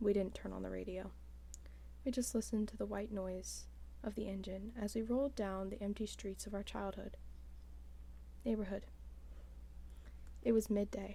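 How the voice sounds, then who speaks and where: A woman, soft-spoken, at a moderate pace. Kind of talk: ASMR book reading.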